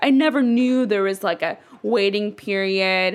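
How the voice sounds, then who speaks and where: Speaking in a normal speaking voice, a woman talks at a medium pitch with ordinary pitch variation. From Dallas, Texas (born in Ethiopia). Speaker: interviewee, friend of host. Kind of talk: interview. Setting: apartment.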